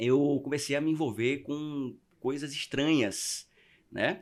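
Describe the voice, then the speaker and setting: A man talks at a fairly high pitch. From Northeast Brazil (Maceió, Alagoas). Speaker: podcast guest. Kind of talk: testimony. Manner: halting with repetitions.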